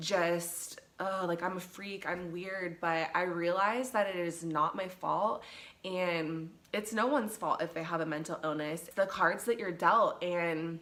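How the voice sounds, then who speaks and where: With a Pacific Northwest accent, a woman speaks at a fairly slow pace in a fairly low pitch with fairly even intonation over noticeable background noise. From Seattle, Washington. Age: 30s. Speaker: mental health vlogger. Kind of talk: casual talk to camera.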